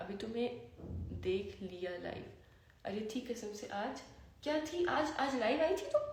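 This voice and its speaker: A woman speaks very slowly with lively intonation. Noticeable background noise and audible room echo surround her voice. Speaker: social media livestreamer. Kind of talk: casual chat. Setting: Instagram live stream.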